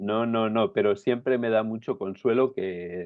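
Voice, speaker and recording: Very slow in pace, a man speaks with fairly even intonation. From Spain, Aragon (Zaragoza). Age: 60s. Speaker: pastor, writer and coach. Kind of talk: interview.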